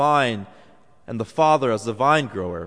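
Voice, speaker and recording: At a moderate pace, this man uses a plain, everyday voice and lively intonation. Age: 20s. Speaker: preacher. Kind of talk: sermon.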